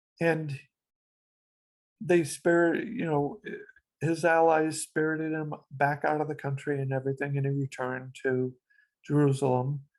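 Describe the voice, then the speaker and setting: A woman speaks with a very deep, low pitch and fairly even intonation, leaving long, frequent pauses against a quiet background. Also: moderate pace. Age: 60s. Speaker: interviewee sharing life story. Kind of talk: interview.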